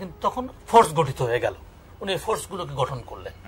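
Very wide swings of pitch in a male voice. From Khulna, Bangladesh; Bangladesh. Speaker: retired army major, war veteran; writer and researcher. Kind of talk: interview answer. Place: home room.

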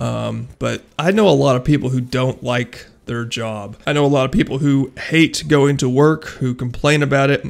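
He has an ordinary speaking voice at a medium pitch for a man. The man's pace is moderate, with ordinary pitch variation. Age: 20s. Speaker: YouTuber and police officer. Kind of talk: casual vlog monologue. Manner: casual, filler-heavy.

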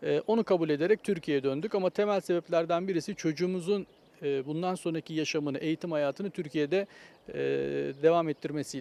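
With a high pitch and a dark, mellow tone, a man talks at a fairly quick pace. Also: ordinary pitch variation. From Osmaniye, Turkey. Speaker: economics professor. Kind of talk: interview, casual chat.

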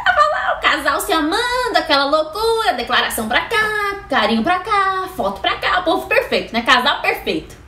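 Over noticeable background noise, a woman projects a raised, extremely high voice with very wide pitch swings. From Brazil. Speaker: YouTuber. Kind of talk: casual vlog monologue. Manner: animated. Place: home room. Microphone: webcam.

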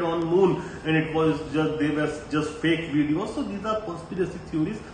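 A man with a fairly high pitch and ordinary pitch variation speaks at a moderate pace, with audible room echo and light background noise. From India. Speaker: geopolitics commentator. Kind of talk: solo commentary video. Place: home room. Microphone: phone near.

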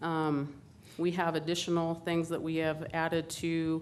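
A woman's very deep, low voice at a fairly slow pace, amid audible room echo. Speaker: police victim advocate. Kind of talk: staff presentation to council. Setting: council chambers.

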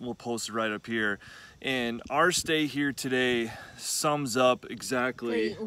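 Heard in a dry sound with no echo, a man speaks in a bright, sharp tone with ordinary pitch variation. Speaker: travel vlogger. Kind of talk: casual vlog chat. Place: open country. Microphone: phone near.

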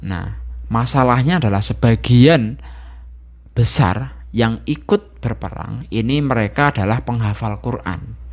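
The background stays quiet as a man delivers his words rather slowly. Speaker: Islamic religious teacher. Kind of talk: religious lecture. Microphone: handheld.

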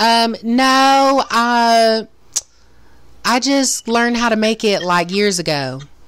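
A woman with an American accent talks at a very slow pace, her fairly high voice held at very even loudness. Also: ordinary pitch variation. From US South, Florida Panhandle. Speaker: podcast host. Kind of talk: casual chat. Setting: livestream video chat.

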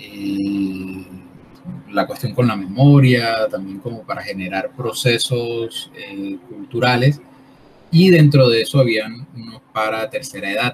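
Against light background noise, the voice moves at a very slow pace with big swings in loudness and ordinary pitch variation. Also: man. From Colombian Caribbean coast (Barranquilla). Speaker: artist and workshop leader. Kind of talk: interview. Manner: halting, many fillers. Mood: calm, thoughtful. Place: home room.

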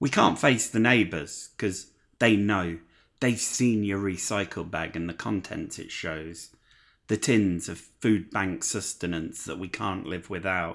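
A man with an East Midlands accent speaks in an angry tone at a very deep, low pitch with ordinary pitch variation. His pace is fairly slow, and the background is quiet. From Leicester, England. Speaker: spoken word poet. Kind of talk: performed spoken word poem, rhythmic rhyming delivery. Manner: impassioned, angry, driving cadence; emphatic, sardonic, rhyme-driven. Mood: angry, sombre social protest.

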